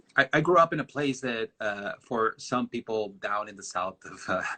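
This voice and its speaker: Medium-pitched male voice with a Mexican accent, bright and sharp in tone, lively intonation, moderate pace and a dry, close sound with no echo. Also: long, frequent pauses, big swings in loudness. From northern Mexico border town. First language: Spanish. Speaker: designer. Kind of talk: interview on a live stream. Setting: video live stream. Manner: halting, many fillers.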